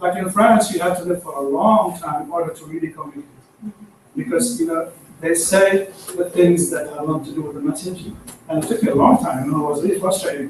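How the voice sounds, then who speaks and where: A man races along at a very fast pace in a high pitch, with lively intonation and big swings in loudness. Noticeable background noise is present. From Iraq. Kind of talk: casual group discussion.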